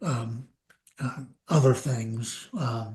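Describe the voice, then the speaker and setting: A man speaks at a medium pitch with ordinary pitch variation and a somewhat breathy sound. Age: 70s. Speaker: psychiatrist. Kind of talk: interview.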